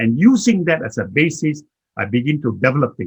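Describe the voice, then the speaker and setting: A somewhat breathy man speaks at a moderate pace. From Malaysia, Kuala Lumpur. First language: Chinese. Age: 80s+. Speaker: management consultant and motivational speaker. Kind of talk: talk.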